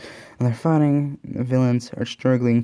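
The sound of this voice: An unforced reading voice, intonation fairly even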